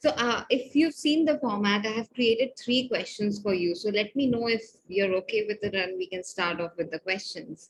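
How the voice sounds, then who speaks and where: The voice is somewhat breathy, with lively intonation. It moves at a moderate pace with hardly any pauses. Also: woman, fairly high pitch for a woman. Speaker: podcast host. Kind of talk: podcast interview questions.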